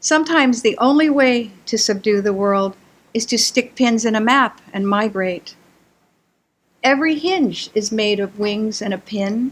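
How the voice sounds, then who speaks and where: Speech comes at a fairly slow pace. The somewhat breathy voice shows ordinary pitch variation. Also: woman, fairly high pitch for a woman. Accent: American. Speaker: poet. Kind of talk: poetry reading. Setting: stage with audience.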